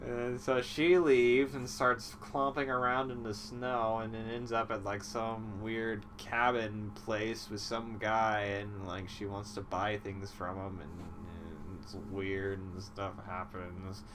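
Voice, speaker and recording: Over music in the background, a man with a fairly low pitch talks very slowly with ordinary pitch variation. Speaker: comedy movie recapper. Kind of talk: casual comedic monologue. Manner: sleepy, rambling.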